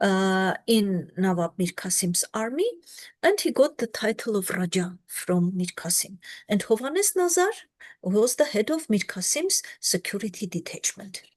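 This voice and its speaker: Against a quiet background, a woman with a medium pitch talks at a fairly slow pace in a somewhat breathy voice with lively intonation, the sound dry and close with no echo. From Armenia. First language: Armenian. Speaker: historian. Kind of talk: lecture. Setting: video call.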